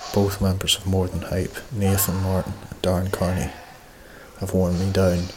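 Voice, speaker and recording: Amid noticeable background noise, a man with an Ulster border accent speaks at a very deep, low pitch with monotone, flat intonation. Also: moderate pace. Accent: Irish, Ulster-border. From Ireland, County Monaghan. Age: 20s. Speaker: pro wrestler. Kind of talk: documentary narration and casual chat.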